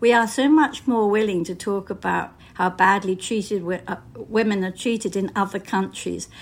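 A woman with a British accent speaks at a medium pitch and moderate pace with ordinary pitch variation, in a very clean recording with a silent background. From Britain. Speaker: novelist. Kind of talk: interview.

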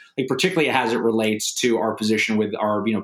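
A man with a fairly low pitch speaks with an American accent and fairly even intonation. He has an unremarkable speaking voice. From United States. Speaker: novelist and war veteran. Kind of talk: interview.

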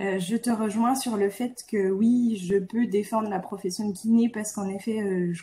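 A woman's somewhat breathy, dark and mellow voice at a medium pitch, fairly slow, with fairly even intonation. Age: 30s. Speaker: physiotherapist and member of parliament. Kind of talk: interview conversation.

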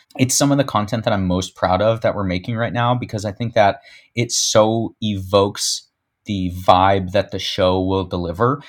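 A man with a normal speaking voice talks at a moderate pace with a fairly low pitch and fairly even intonation on a very clean recording with a silent background. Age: 30s. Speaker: social media agency founder. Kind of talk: interview.

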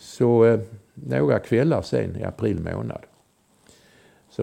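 A man speaks with a very deep, low pitch and vocal fry. His tone is dark and mellow against a quiet background. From southern Sweden, Malmö. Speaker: former intelligence agent. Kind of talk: storytelling interview. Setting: at home.

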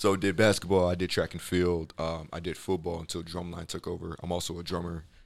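A man with a very deep, low pitch talks at a very fast pace in a flat monotone, hardly pausing, in a very clean recording with a silent background. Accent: American. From Chicago. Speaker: podcast guest, hiking club founder. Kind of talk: casual interview.

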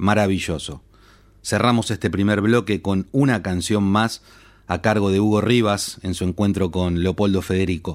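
A man with a normal speaking voice, fairly low in pitch, at a moderate pace. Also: fairly even intonation, very clean recording, silent background. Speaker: radio host. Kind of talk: scripted narration.

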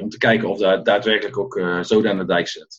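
A man talks at a fairly quick pace in a plain, everyday voice with a fairly low pitch. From Netherlands, Tilburg (North Brabant). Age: 40s. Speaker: coach and former restaurant owner. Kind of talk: interview.

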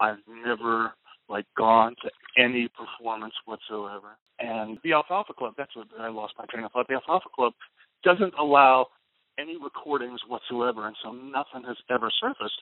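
A man with a medium pitch and an American accent talks at a moderate pace in an ordinary speaking voice, with ordinary pitch variation and big swings in loudness. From United States. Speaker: comedian and political joke writer. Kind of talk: casual interview. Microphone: poor audio quality.

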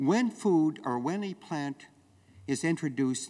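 A man's voice with very wide pitch swings, in a very clean recording with a silent background. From Western Canada. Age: 70s. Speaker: farmer and activist. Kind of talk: speech. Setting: stage with audience.

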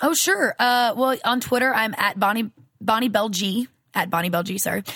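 Speaking with a Southern US accent, a woman sounds bright, sharp and animated, moving at a fairly quick pace with ordinary pitch variation. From US South. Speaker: voice actress. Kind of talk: casual interview.

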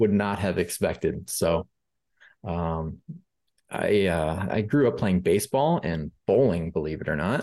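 A man with an American accent speaks at a fairly slow pace in a very deep, low voice, his dark, mellow tone carried by lively intonation. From US Midwest, Rockford, Illinois. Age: 20s. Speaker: applications programmer. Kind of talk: casual interview. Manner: halting, many fillers.

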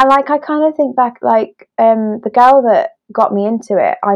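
A woman with a British accent and lively intonation. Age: 20s. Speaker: illustrator and wedding creative. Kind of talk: casual chat. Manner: hesitant, many fillers and laughs.

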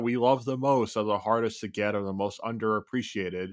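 A man in a normal speaking voice at a medium pitch is captured on a very clean recording with a silent background. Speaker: podcast co-host, Raptors fan. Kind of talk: casual sports chat podcast.

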